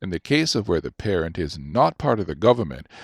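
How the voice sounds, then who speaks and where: With a southern Ontario accent, the speaker goes at a fairly quick pace with vocal fry and very wide pitch swings, on a very clean recording with a silent background. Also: man, dry, close sound with no echo. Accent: Southern Ontario, North American. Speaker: voice actor. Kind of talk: audiobook narration.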